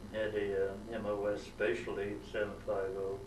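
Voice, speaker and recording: A man with a fairly low pitch is heard through audible room echo and noticeable background noise. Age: 80s+. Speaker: war veteran. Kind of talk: oral history interview. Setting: museum. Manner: halting, many fillers.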